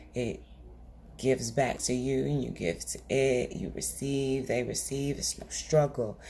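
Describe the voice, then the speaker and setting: A woman speaks in a very deep, low pitch with a dark, mellow tone and vocal fry. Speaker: tarot reader. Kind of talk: tarot reading monologue. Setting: at home. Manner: quiet; soft-spoken.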